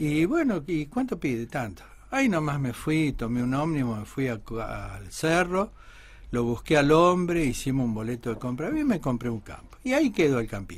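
A man speaks at a moderate pace in a fairly high, somewhat breathy voice. His intonation is lively. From Argentina, Buenos Aires. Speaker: musician, son of a famous folk singer. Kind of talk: radio interview.

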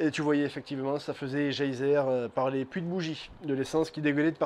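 A man's monotone, flat delivery at a fairly quick pace. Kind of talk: tutorial. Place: workshop.

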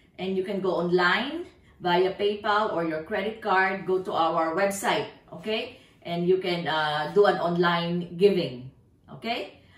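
A woman at a fairly slow pace, ordinary pitch variation, with audible room echo. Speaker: pastor. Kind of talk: church announcements. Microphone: camera far.

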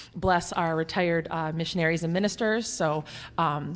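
A woman speaks at a moderate pace with fairly low pitch. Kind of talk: church announcements. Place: church. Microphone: handheld.

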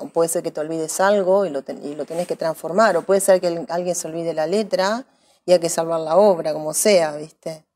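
Speaking at a moderate pace, a woman has a fairly low pitch, ordinary pitch variation and a dark, mellow tone. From Saladillo, Buenos Aires province, Argentina; Buenos Aires province, Argentina. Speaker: actress; interviewee. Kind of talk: interview. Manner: hesitant, many fillers. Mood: relaxed, reflective.

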